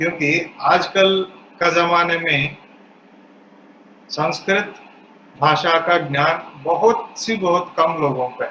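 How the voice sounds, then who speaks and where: With a South Indian accent, a man speaks at a high pitch. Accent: South Indian accent in Hindi. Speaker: spiritual speaker. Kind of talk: religious discourse.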